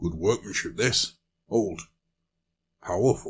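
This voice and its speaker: Putting on a raspy character voice, a man speaks at a fairly slow pace with a medium pitch. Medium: read story. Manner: gruff, blunt.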